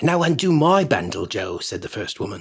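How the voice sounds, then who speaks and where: A somewhat breathy man speaks at a moderate pace. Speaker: actor. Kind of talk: sleep story.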